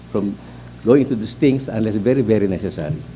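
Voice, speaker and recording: Over background music, a man with a fairly low pitch talks with lively intonation. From Philippines, Mindanao. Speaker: judicial candidate, appellate justice. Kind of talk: job interview. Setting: hearing room. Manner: fast; halting.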